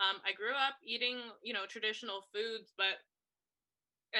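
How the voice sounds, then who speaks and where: A woman's medium-pitched voice with a bright, sharp tone, ordinary pitch variation, a fairly quick pace and a Canadian accent. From Canada. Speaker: podcast co-host. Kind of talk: casual chat.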